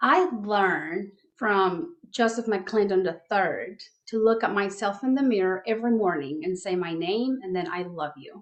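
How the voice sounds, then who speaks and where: A woman speaks in a Spanish accent at a fairly slow pace. Her intonation is lively. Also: medium pitch for a woman. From Mexico. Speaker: life coach. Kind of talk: podcast interview.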